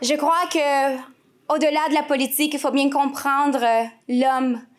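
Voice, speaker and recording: A woman with a high pitch talks at a moderate pace, with ordinary pitch variation. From Quebec, east Montreal. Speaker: politician's spouse speaking at rally. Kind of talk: political rally speech. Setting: stage with audience. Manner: formal.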